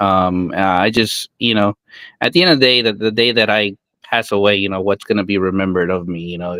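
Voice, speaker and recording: A man's fairly low voice, an unremarkable speaking voice, fairly even in intonation and at a fairly quick pace. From US, immigrant family from Guatemala. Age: 30s. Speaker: mobile car detailer. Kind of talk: podcast interview.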